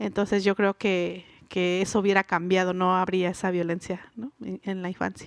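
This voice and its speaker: Monotone, flat intonation at a moderate pace, in a dry, close sound with no echo. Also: woman, medium pitch for a woman, very clean recording, silent background. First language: Mixe (speaking Spanish). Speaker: writer and linguist. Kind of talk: live interview. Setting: stage with audience at a book fair.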